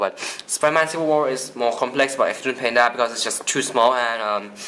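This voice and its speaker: A man's speech, with ordinary pitch variation, comes at a moderate pace against noticeable background noise. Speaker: toy customizer YouTuber. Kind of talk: product showcase tutorial. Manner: halting.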